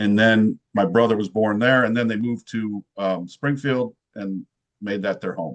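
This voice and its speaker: With a dry, close sound and no echo, a man talks in a fairly low pitch with fairly even intonation. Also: moderate pace. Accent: Midwestern American. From central Illinois. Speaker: sales professional. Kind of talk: podcast interview.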